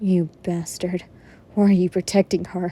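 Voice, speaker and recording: On a very clean recording with a silent background, a woman does a raspy put-on character voice at a medium pitch, with monotone, flat intonation and a moderate pace. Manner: angry, accusing.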